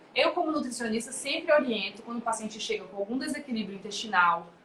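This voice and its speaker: The speaker is a woman with lively intonation. Her pitch sits fairly high. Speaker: nutritionist. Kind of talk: live webinar talk. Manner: fast.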